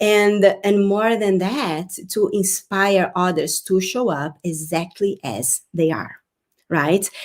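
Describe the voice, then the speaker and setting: At a very slow pace, a woman with a Brazilian Portuguese accent speaks at a medium pitch with ordinary pitch variation. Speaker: spiritual business coach. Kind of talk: live-streamed workshop talk. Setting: live online broadcast. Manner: halting, with repetitions.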